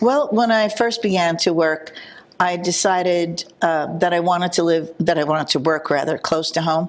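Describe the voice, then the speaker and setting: At a moderate pace, a woman with a fairly low pitch keeps very even loudness and ordinary pitch variation. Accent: New Jersey. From New Jersey, Jersey City. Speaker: village trustee. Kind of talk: interview.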